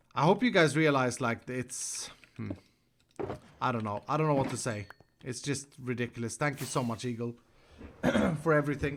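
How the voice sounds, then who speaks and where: Pausing long and often, a man with a Swedish accent talks at a medium pitch. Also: ordinary pitch variation, moderate pace. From Sweden. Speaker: Minecraft streamer. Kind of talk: live gameplay stream chat. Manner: animated.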